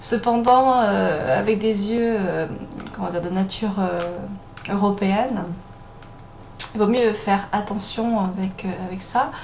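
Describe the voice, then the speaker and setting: Under noticeable background noise, a woman of medium pitch speaks at a very slow pace with fairly even intonation. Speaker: makeup tutorial host. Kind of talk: makeup tutorial talk to camera. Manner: hesitant, many fillers.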